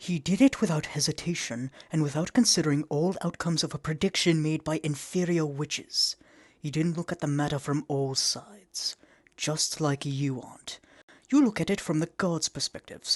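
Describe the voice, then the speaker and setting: Set against a quiet background, a put-on character voice speaks at a middle pitch. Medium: audio drama. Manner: dry, sardonic.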